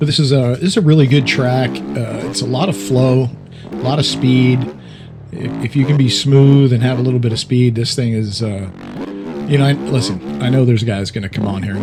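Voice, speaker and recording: There is noticeable background noise and audible room echo as a man speaks at a moderate pace, his medium-pitched voice lively in intonation. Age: 60s. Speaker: gaming YouTuber. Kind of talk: gameplay commentary. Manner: casual, hesitant with fillers.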